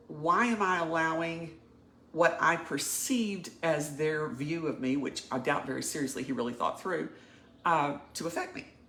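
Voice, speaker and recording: A woman speaks at a fairly low pitch and a moderate pace, with ordinary pitch variation. Audible room echo and noticeable background noise surround her. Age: 60s. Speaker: coaching client. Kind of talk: personal testimony.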